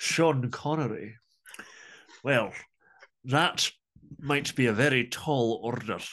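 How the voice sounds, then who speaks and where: Long, frequent pauses break up this man's speech. He talks very slowly in a Scottish accent. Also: medium pitch for a man, ordinary pitch variation. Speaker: metal band vocalist and drummer. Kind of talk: interview.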